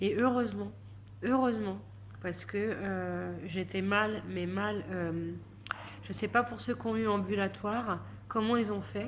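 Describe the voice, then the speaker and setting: Speaking at a very slow pace with long, frequent pauses, a woman is heard over audible room echo. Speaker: vlogger. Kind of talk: casual vlog monologue. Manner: soft-spoken, slow; hesitant, many fillers.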